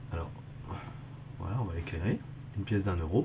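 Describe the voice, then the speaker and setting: A man's lively intonation at a very fast pace. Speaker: photography youtuber. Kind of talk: tutorial. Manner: hesitant, many fillers.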